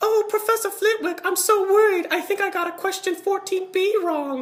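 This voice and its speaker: This is a put-on character voice with an extremely high pitch. The pace is moderate. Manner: mocking, anxious.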